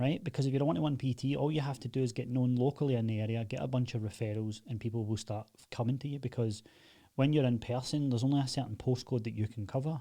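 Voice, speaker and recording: The speaker talks very fast in a Glaswegian accent, somewhat breathy, with a dark, mellow tone. Intonation is fairly even and the background is quiet. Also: man, medium pitch for a man. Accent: Glaswegian Scottish. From Scotland, Glasgow. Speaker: online fitness coach and agency owner. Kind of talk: casual tutorial.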